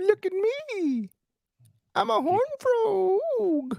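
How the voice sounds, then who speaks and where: This put-on character voice moves at a very slow pace, with an extremely high pitch and very wide pitch swings. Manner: comic, bad impression.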